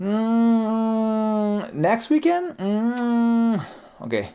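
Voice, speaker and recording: The recording is very clean with a silent background. A put-on character voice speaks at a fairly high pitch. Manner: hesitant, reluctant.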